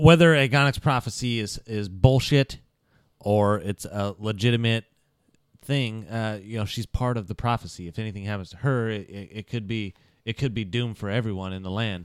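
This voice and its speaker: A man with a normal speaking voice talks at a moderate pace and a fairly low pitch, with ordinary pitch variation and big swings in loudness, in a very clean recording with a silent background and a dry, close sound with no echo. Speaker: role-playing game player. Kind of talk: casual tabletop role-playing game banter.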